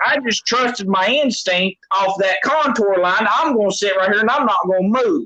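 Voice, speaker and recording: A raised, projected voice in a Southern US accent at a moderate pace, with ordinary pitch variation over noticeable background noise. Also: man. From Tennessee, Knoxville. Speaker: catfish angler. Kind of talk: casual chat.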